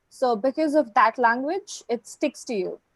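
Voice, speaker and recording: Her voice high-pitched, a woman with an Indian accent speaks at a moderate pace in a dry, close sound with no echo. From southern India. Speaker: guest speaking about life in India. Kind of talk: casual conversation.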